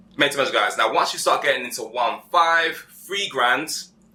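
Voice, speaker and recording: A man talks at a very fast pace. He has a British accent. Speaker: menswear tailoring channel host. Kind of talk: casual advice chat. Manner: animated.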